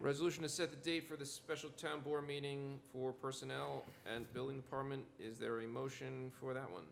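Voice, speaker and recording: The man talks at a very fast pace and a medium pitch. Noticeable background noise runs behind him. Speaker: town supervisor chairing board meeting. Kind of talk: public meeting procedure. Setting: town board meeting room. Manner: formal.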